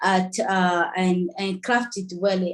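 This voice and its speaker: A woman talks here. Her voice lands at a mid-range pitch. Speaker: feminist advocate. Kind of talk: panel discussion. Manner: halting, many fillers.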